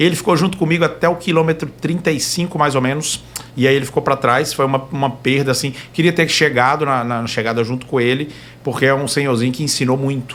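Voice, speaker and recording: Noticeable background noise sits behind a man speaking at a very fast pace. His pitch is fairly high, with fairly even intonation. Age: young. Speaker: trail runner. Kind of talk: casual chat.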